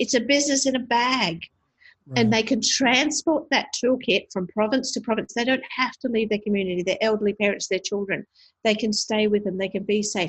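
In an Australian accent, a woman with a somewhat breathy, fairly high voice speaks at a fairly quick pace with ordinary pitch variation. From Australia, Queensland (Sunshine Coast). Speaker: charity founder. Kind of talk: interview. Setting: phone call.

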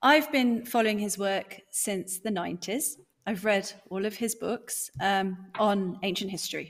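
Speaking with a strong British accent, a woman of medium pitch goes at a fairly slow pace with hardly any pauses and ordinary pitch variation. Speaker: YouTuber guest. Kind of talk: casual chat.

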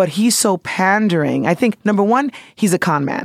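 Her tone is animated and her intonation lively as a woman speaks at a medium pitch and a moderate pace. The sound is dry and close with no echo, in a very clean recording with a silent background. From Dominican American, New York. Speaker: documentary filmmaker and writer. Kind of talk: casual chat. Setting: studio.

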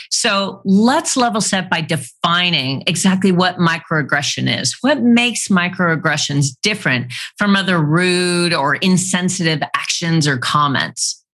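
With a plain, everyday voice, a woman speaks at a fairly slow pace and a fairly low pitch, with hardly any pauses. Her intonation is lively and her loudness very even. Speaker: podcast host. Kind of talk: podcast interview.

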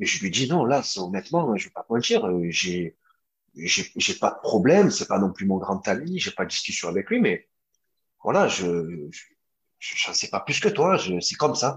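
At a fairly slow pace, a man talks with medium pitch and very wide pitch swings. He leaves long, frequent pauses. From Marseille, southern France. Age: 20s. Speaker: footballer. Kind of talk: interview. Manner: halting.

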